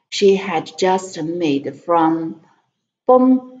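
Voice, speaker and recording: In a Chinese accent, this voice moves at a very slow pace. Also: woman. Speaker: language tutor and English learner. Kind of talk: reading aloud. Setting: live stream. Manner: halting.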